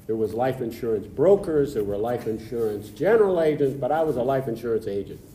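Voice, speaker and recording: A man with an American accent talks at a very fast pace with hardly any pauses. His medium-pitched voice has lively intonation over noticeable background noise. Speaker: past club president. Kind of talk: interview storytelling. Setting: studio.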